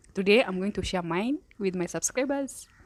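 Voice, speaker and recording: A soft-spoken woman talks at a moderate pace in a medium pitch. The recording is very clean, with a silent background. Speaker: YouTuber. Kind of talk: casual vlog storytelling. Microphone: handheld mic held close.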